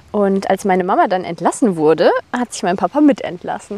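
With lively intonation, a woman talks at a moderate pace against noticeable background noise. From Germany, Rhineland (Bonn). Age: 20s. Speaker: personal trainer. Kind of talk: casual interview chat.

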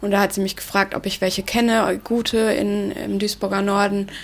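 Medium-pitched woman at a moderate pace amid noticeable background noise. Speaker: youth mentoring volunteer. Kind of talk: interview.

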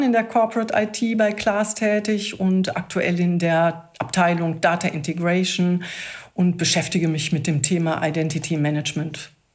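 A woman with a fairly low pitch speaks at a moderate pace, her loudness very even. There is noticeable background noise. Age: 50s. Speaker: IT specialist. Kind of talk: casual interview.

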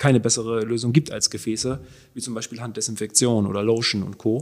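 In a monotone, flat intonation, a man talks at a very fast pace. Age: 40s. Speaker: circular economy entrepreneur. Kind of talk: interview conversation. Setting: in person, same room.

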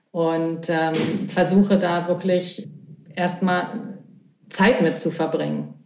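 In a room with audible echo, a woman speaks at a very slow pace in a fairly low pitch, monotone and flat, with long, frequent pauses. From Berlin, Germany. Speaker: healer. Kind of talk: casual interview. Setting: remote from Italy.

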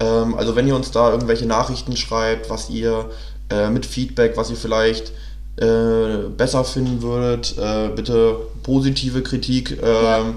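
A man talks fairly slowly over noticeable background noise. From northern Germany (Hannover). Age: 20s. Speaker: podcast co-host. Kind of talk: casual chat. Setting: studio, sitting side by side.

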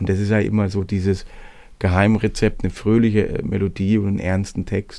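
A man speaks at a fairly quick pace in a fairly low, dark, mellow voice with monotone, flat intonation. The recording is very clean, with a silent background. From Swabia, Hohenlohe district. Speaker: singer-songwriter. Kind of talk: casual interview.

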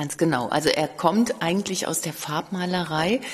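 There is noticeable background noise. Under it, a woman speaks fairly slowly in a fairly low voice. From Cologne. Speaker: museum curator. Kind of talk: interview.

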